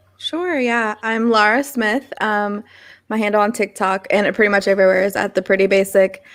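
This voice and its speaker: A woman's fairly high-pitched, an unremarkable speaking voice. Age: 30s. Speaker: podcast guest, former cult member. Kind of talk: casual interview.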